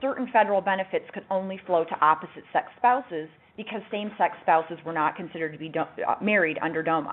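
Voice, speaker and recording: A woman speaks at a fairly quick pace. Her medium-pitched voice has lively intonation. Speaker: lawyer presenting a webinar. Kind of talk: webinar presentation. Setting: webinar. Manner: fast.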